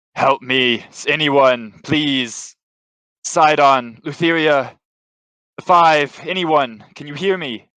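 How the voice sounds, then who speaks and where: Putting on a bellowing character voice, a man speaks very slowly at a fairly high pitch, with long, frequent pauses. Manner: roaring, crying out in pain.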